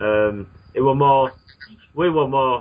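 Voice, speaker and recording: A man talks at a very slow pace in a British accent. His pitch varies in an ordinary way. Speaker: radio host. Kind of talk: interview. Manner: halting.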